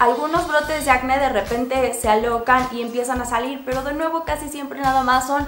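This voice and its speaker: A woman's fairly quick, high-pitched speech with audible room echo and faint background music. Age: 20s. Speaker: beauty vlogger. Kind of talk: product review. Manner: casual.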